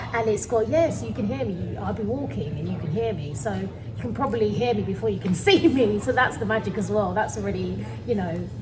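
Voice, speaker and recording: A London accent at a fairly quick pace, amid audible room echo and noticeable background noise. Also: woman. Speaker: panto actress. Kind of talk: casual interview chat.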